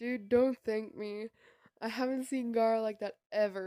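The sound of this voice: Fairly even intonation in an unforced reading voice, over a quiet background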